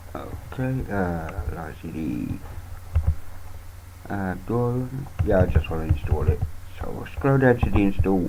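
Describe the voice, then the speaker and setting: A man with a very deep, low voice talks at a fairly slow pace, with long, frequent pauses, lively intonation and big swings in loudness. Audible room echo and noticeable background noise surround him. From United Kingdom. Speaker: Linux youtuber. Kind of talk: screen-recorded tutorial. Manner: casual, halting with fillers.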